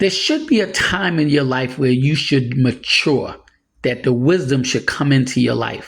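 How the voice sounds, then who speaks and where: With audible room echo around him, a man speaks fairly slowly at a medium pitch, his pitch moving in an ordinary way. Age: 60s. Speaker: preacher. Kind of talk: sermon. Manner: casual, conversational.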